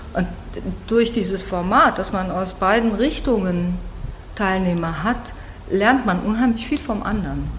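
Against noticeable background noise and audible room echo, a woman speaks at a medium pitch and a fairly slow pace, with ordinary pitch variation and long, frequent pauses. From Germany. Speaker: literary translator and workshop leader. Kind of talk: interview.

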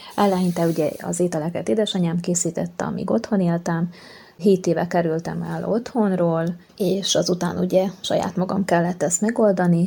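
An unremarkable speaking voice from a woman at a fairly low pitch, with a moderate pace and fairly even intonation. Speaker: patient sharing her story. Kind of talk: personal testimony.

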